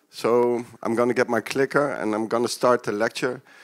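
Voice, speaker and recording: Recorded with a dry, close sound and no echo, a man with a Dutch accent talks at a moderate pace and a medium pitch. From Netherlands. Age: 40s. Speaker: peer support worker, keynote speaker. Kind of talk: lecture. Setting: stage with audience. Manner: hesitant, many fillers.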